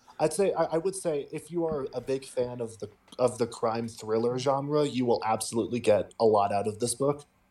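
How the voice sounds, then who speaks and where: A man with an unremarkable speaking voice talks at a medium pitch and moderate pace. His pitch variation is ordinary, with hardly any pauses. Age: young. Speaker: podcast co-host and literature student. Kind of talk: casual chat.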